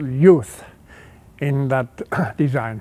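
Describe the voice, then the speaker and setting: Speaking in a German accent, a man has a fairly high pitch with ordinary variation. His pace is very slow. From Switzerland. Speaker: car designer. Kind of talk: interview.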